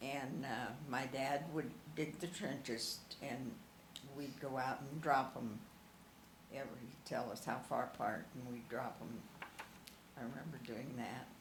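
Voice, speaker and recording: Against noticeable background noise, a woman with a very deep, low pitch and ordinary pitch variation speaks at a fairly slow pace with long, frequent pauses. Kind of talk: interview answer.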